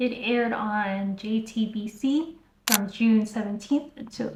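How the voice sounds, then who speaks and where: A woman's fairly high voice with an American accent. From US South. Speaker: YouTuber reviewing K-dramas. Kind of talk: casual video review.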